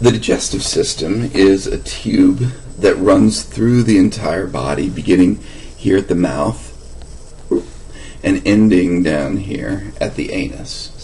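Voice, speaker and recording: A man puts on a hoarse, raspy character voice and speaks at a fairly slow pace over clear background noise. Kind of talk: lecturing, explanatory.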